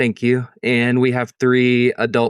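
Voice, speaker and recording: A man with a Southern Tennessee accent, dry and close with no echo, over a quiet background. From East Tennessee. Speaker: interview guest. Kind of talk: interview conversation.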